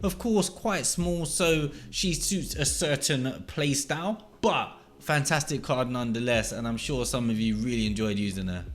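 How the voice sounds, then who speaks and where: Pitched in the medium range, a man with an English accent swings his pitch very widely. He keeps a moderate pace with hardly any pauses. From England. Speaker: gaming YouTuber. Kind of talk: scripted countdown commentary.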